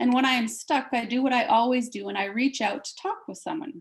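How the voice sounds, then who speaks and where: A somewhat breathy woman at a fairly quick pace with ordinary pitch variation. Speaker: professor. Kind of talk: academic presentation. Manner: halting.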